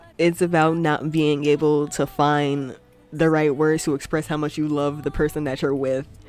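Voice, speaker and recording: Music plays in the background as the speech goes along at a moderate pace. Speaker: music reviewer podcast host. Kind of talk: casual album review. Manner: stutters at times.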